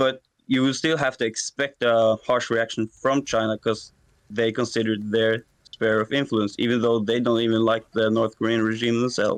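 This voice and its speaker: Flat and monotone, a man with a non-native accent speaks at a moderate pace with very even loudness in a dry, close sound with no echo. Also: medium pitch for a man. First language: not English. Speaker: debate caller. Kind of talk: debate. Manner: halting.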